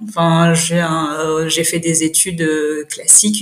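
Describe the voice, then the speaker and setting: A woman's fairly low voice at a very slow pace, with noticeable background noise. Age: 30s. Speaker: chemical engineer and cosmetics brand founder. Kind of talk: casual interview chat. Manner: hesitant, many fillers.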